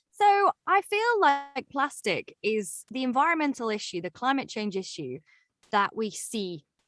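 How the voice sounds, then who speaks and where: A woman talks at a fairly slow pace with a slight English accent. Her voice is high against a quiet background. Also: dry, close sound with no echo. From southern England (Reading, near London). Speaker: broadcaster and podcast host. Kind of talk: interview conversation.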